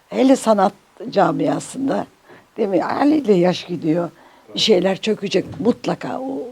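Noticeable background noise sits behind a woman at a medium pitch. She talks at a fairly slow pace with very wide pitch swings. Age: 80s+. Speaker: Turkish folk music singer. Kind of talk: interview answer.

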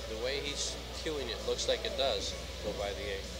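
Clear music sits in the background as a man talks. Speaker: pool match commentator. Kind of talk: commentary. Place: hall.

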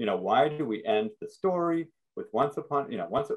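A man speaks at a fairly quick pace and medium pitch, with lively intonation and a slightly husky edge.

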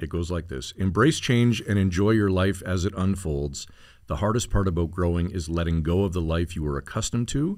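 Over a quiet background, a man with a Canadian accent and a very deep, low voice talks fairly quickly, with ordinary pitch variation. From Ontario, Canada. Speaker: podcast host. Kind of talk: casual chat and interview. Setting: studio. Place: studio. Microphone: studio mic.

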